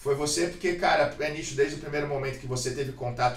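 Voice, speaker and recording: A man talks fairly quickly amid audible room echo and noticeable background noise. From Brazil, Santos. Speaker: podcast host, former jiu-jitsu world champion. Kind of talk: casual interview.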